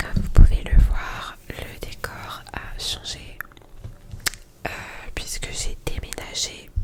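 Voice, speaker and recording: A woman whispers very slowly with long, frequent pauses, her volume rising and falling widely against noticeable background noise. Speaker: ASMR creator. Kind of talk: ASMR casual chat to camera. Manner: soft-spoken.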